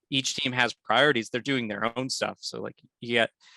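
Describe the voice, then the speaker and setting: This man's tone is bright and sharp, with flat, monotone intonation and a fairly quick pace. The sound is dry and close with no echo, on a very clean recording with a silent background. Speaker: devops architect presenting at meetup. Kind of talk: technical presentation and Q&A. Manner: fast; casual, many fillers.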